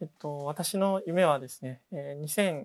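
On a very clean recording with a silent background, a man's fairly high voice sounds dry and close with no echo, his intonation fairly even. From rural Japan. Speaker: startup founder and CEO. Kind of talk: interview. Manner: hesitant fillers.

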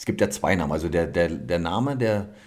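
There is audible room echo around a man talking with lively intonation. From Cottbus, Lusatia, eastern Germany. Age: 30s. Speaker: personal trainer and former bodybuilder. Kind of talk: interview conversation. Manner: hesitant, many fillers.

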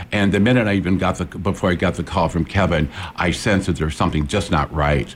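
Over noticeable background noise, a man with an American accent talks at a very fast pace, his very deep, low voice showing ordinary pitch variation and very even loudness. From Peoria, Illinois. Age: 60s. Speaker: psychic medium and forensic psychologist. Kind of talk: interview. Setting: studio. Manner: animated.

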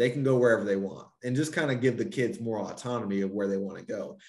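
A man's normal speaking voice, medium in pitch, with an American accent and ordinary pitch variation. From North Carolina. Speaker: college athletics compliance officer. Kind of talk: casual interview.

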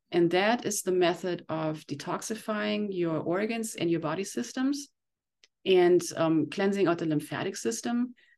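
A woman with a fairly low pitch speaks at a moderate pace, her voice making very wide pitch swings. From Germany. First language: German. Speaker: detox specialist and iridologist. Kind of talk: interview. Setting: remote call.

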